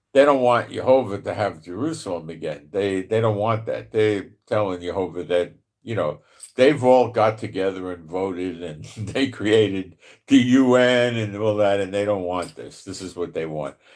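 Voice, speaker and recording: In a New York accent, a man talks at a moderate pace and fairly low pitch, with ordinary pitch variation and big swings in loudness. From New York (the Bronx). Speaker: Bible prophecy commentator. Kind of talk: live stream Bible teaching. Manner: casual, filler-heavy.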